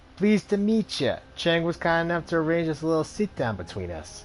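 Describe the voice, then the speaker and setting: Someone in a put-on character voice with a New York accent talks at a fairly quick pace, nasal and middle-pitched, over clear background noise. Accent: rough, affected New York. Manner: contorted, put on.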